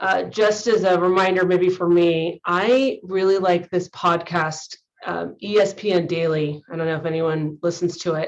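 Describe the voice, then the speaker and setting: A woman speaks with a Californian accent at a fairly low pitch. Her intonation is fairly even, with hardly any pauses. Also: moderate pace. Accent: Californian American. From US West Coast, San Francisco Bay Area. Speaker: high school teacher and coach. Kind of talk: conference presentation.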